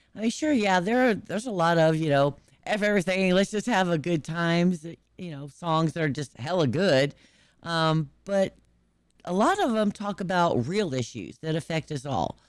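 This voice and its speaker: Her voice fairly low in pitch, a woman speaks at a moderate pace with lively intonation. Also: very clean recording, silent background. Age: 50s. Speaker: YouTube music reaction host. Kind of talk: casual chat. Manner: casual, hesitant with fillers.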